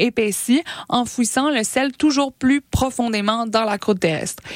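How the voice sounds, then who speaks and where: In a dry, close sound with no echo, a woman with an ordinary speaking voice speaks fairly slowly at a fairly high pitch. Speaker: science popularization radio co-host. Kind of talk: casual science chat on radio.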